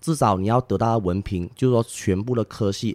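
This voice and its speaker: With an unremarkable speaking voice, a man talks at a fairly quick pace and fairly low pitch in a dry, close sound with no echo. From Malaysia, Penang. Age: 20s. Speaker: tour guide. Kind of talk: casual interview. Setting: on location in Langkawi, Malaysia.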